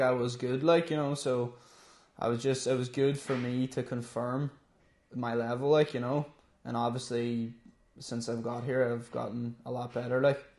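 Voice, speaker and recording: A man with a Donegal accent speaks at a moderate pace in a medium pitch. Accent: Donegal Irish. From Ireland, Donegal (Letterkenny). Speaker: amateur MMA fighter. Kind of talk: interview. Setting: in the gym.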